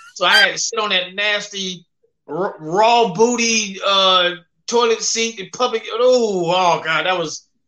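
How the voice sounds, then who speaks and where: A man speaks in a raised, projected voice, high-pitched with a bright, sharp tone. His pace is fairly slow. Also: ordinary pitch variation. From US South, Memphis, Tennessee. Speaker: comedian. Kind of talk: casual interview. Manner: halting, filler-heavy.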